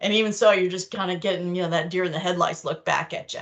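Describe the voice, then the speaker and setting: An American-accented woman. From New York. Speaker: clinical documentation trainer. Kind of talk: online training lecture. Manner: casual, conversational.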